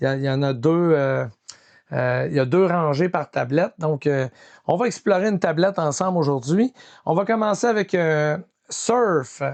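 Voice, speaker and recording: Lively in intonation, a man with a fairly high pitch talks at a moderate pace, with a dry, close sound with no echo and a quiet background. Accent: Quebec. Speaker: film collector YouTuber. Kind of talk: casual collection showcase. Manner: hesitant, many fillers.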